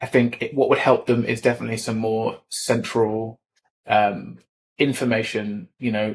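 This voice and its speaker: A man with a southern English accent speaks at a moderate pace. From southern England. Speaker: equipment industry specialist. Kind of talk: podcast interview. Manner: hesitant, many fillers and repeats.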